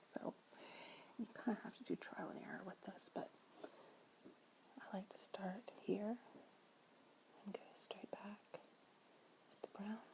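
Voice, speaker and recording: A woman whispers at a very slow pace, leaving long, frequent pauses. Her loudness swings widely. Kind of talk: ASMR makeup tutorial, whispered to camera. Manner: whispered, soft-spoken.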